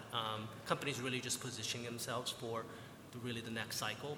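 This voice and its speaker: Noticeable background noise fills the recording. A man's voice sits at a medium pitch. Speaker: investment banker. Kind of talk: panel discussion.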